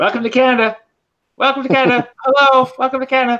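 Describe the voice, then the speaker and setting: This is a put-on character voice. It runs at a very fast pace. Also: man, extremely high pitch for a man. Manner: cheerful, welcoming, repeated greeting.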